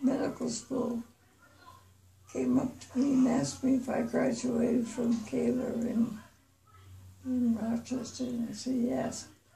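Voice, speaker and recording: In a room with audible echo, a woman speaks at a very slow pace. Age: 90s. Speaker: retired nurse. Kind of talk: interview. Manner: halting.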